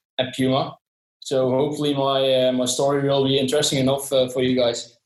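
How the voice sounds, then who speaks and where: This man speaks with a Dutch accent at a medium pitch. His intonation is monotone and flat. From southern Netherlands. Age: 20s. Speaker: sports brand employee. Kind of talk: podcast interview. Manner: hesitant, many fillers.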